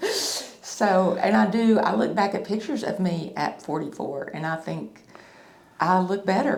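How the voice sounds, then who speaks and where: With audible room echo, a woman with a Tennessee accent speaks at a very slow pace. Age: 50s. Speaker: facelift patient. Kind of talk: testimony. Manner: halting.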